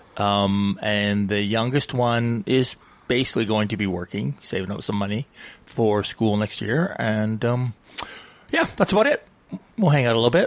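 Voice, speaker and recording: Noticeable background noise runs under the speech. The voice has a Canadian accent and ordinary pitch variation. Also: man. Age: 60s. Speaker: radio co-host. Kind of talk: casual chat.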